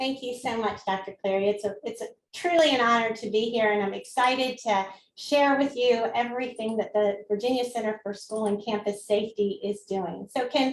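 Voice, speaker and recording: A woman's fairly high voice with a Southern US accent, at a moderate pace with ordinary pitch variation. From US South. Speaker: school safety official. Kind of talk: presentation. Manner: animated.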